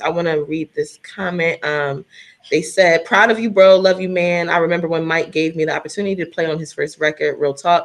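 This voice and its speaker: This woman speaks at a fairly quick pace in a fairly low pitch, with ordinary pitch variation. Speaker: singer. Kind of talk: casual chat.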